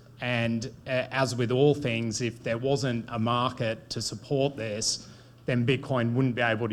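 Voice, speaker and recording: A man with an Australian accent, medium in pitch, monotone and flat, at a moderate pace. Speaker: bitcoin mining company executive. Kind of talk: panel discussion.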